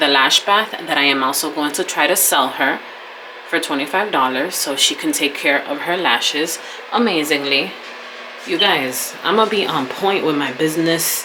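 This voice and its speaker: A woman's very deep, low voice with ordinary pitch variation at a fairly slow pace, amid noticeable background noise and audible room echo. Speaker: esthetician and vlogger. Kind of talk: casual vlog talk. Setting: home studio.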